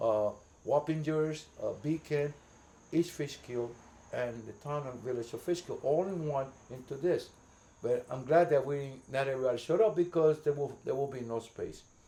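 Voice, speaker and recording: A man with a Puerto Rican accent, a fairly high pitch, a dark, mellow tone and ordinary pitch variation at a moderate pace. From New York City, the Bronx. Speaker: community volunteer. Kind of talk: casual interview. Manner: halting, repeats words.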